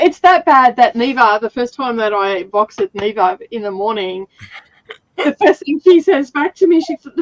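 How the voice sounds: With an Australian accent, a woman speaks at a moderate pace in a high pitch, her voice making very wide pitch swings and big swings in loudness.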